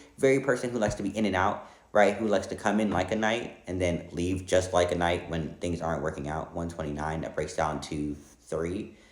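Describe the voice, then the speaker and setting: A man speaks with a very deep, low pitch at a fairly quick pace. Audible room echo surrounds his voice. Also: ordinary pitch variation. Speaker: tarot reader. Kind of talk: tarot reading monologue. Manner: fast.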